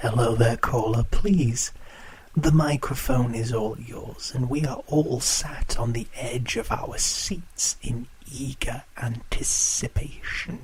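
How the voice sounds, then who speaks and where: Putting on a character voice at medium pitch, a man speaks at a fairly slow pace over light background noise. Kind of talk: horror radio show hosting. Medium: audio drama.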